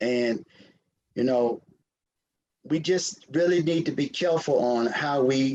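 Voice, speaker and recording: In a Southern US accent, someone talks at a fairly slow pace. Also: man. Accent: Southern US (Georgia). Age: 60s. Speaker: city council member. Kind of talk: council meeting remarks. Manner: halting, repetitive.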